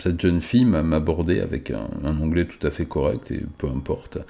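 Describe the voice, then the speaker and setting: A man speaks with a very deep, low pitch. His tone is dark and mellow, and his pace moderate. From France. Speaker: YouTuber vlogger. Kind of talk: casual vlog storytelling. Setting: close camera angle. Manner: hesitant, many filler sounds. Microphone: close to the microphone.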